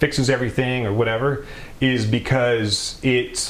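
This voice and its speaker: Audible room echo surrounds a man speaking with an American accent at a medium pitch, a fairly slow pace and fairly even intonation. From US South, Mississippi. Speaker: retired Navy SEAL sniper, CBD company founder. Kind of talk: interview, explaining.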